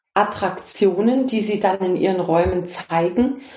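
A woman at a medium pitch, with audible room echo. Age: 50s. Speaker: consciousness coach. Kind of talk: interview. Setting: video call.

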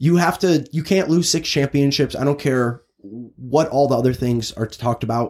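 With a normal speaking voice and an American accent, a man talks at a moderate pace with hardly any pauses, using ordinary pitch variation at a fairly high pitch, on a very clean recording with a silent background. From Chicago, US Midwest. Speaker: sports podcast host. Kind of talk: casual sports chat. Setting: recording booth.

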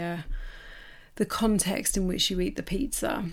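A woman speaks in a warm tone with an English accent. The recording is very clean, with a silent background. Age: 40s. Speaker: podcast host and life coach. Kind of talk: personal storytelling monologue. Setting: home office. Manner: warm, casual.

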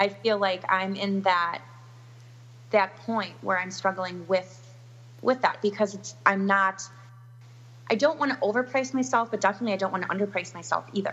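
With an Upper Midwest accent, a woman speaks at a medium pitch and moderate pace, her intonation lively, with noticeable background noise behind her. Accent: Upper Midwest American. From US Upper Midwest, Milwaukee, Wisconsin. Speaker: wedding planner. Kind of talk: interview.

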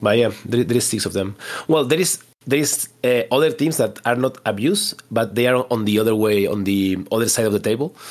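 A man with a Spanish accent speaks at a moderate pace in a fairly low pitch. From Spain. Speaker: competitive tabletop wargame player. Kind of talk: casual interview.

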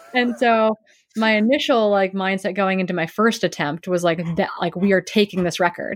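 The sound is dry and close, with no echo. A normal speaking voice carries an American accent and ordinary pitch variation. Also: woman, medium pitch for a woman, moderate pace. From US Midwest, Wisconsin. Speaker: professional ultra runner and coach. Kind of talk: interview, casual chat.

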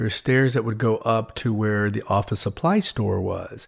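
A man with an American accent uses a normal speaking voice with ordinary pitch variation. The recording is very clean and the background silent. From Texas. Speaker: podcast host. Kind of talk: personal storytelling monologue.

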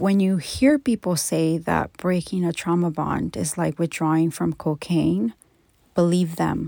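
The recording is very clean, with a silent background and a dry, close sound with no echo. A woman speaks at a fairly slow pace. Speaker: podcast host, abuse survivor and trauma coach. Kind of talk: personal testimony monologue.

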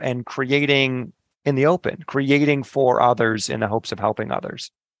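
A man speaks in an unremarkable speaking voice at a fairly high pitch. The sound is dry and close with no echo, and the background is quiet. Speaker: podcast host. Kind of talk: interview. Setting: video call.

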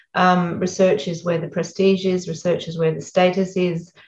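Monotone, flat intonation delivered at a moderate pace. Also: woman. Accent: Australian. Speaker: education executive and author. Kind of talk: interview. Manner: blunt.

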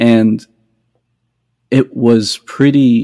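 In an American accent, the voice has a dark, mellow tone and a monotone, flat intonation. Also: man. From New Mexico, US. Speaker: mandolin player and music writer. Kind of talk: casual interview chat.

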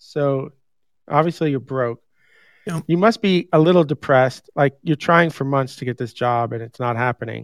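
An American-accented man at a moderate pace, with ordinary pitch variation, on a very clean recording with a silent background. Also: fairly high pitch for a man, dry, close sound with no echo. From New York. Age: 50s. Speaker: podcast host. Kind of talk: casual chat. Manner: animated.

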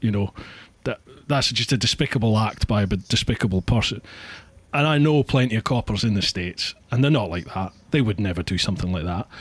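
Somewhat breathy, the speaker talks at a fairly quick pace with a Scottish accent. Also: man, fairly low pitch for a man, very clean recording, silent background. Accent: Scottish, rolled R's. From northeast Scotland. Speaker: podcast host. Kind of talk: casual interview chat. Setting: home office studio.

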